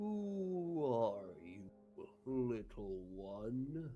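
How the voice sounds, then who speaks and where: A put-on character voice at a low-to-middle pitch, full of very wide pitch swings, over clear background noise. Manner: gentle.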